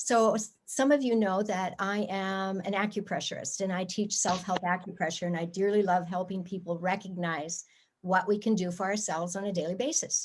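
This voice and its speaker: A woman has an unremarkable speaking voice at medium pitch. She keeps a moderate pace against a quiet background. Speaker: acupressurist teaching self-help. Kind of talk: guided exercise instruction. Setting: video call.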